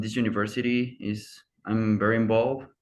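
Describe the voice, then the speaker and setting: A man speaks with a Spanish accent. There is audible room echo. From Mexico. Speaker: university student. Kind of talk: casual chat.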